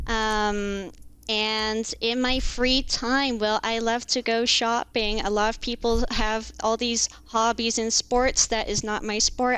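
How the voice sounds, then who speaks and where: A woman's fairly high voice with an American accent, flat and monotone in intonation, at a very slow pace. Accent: American-sounding. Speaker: contract lawyer. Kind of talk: podcast interview. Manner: hesitant, many fillers.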